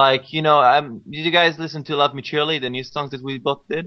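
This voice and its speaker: A man with an Israeli accent talks at a very fast pace with ordinary pitch variation. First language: Hebrew. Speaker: musician. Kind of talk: podcast interview. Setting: live stream podcast. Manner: halting, many fillers and repetitions.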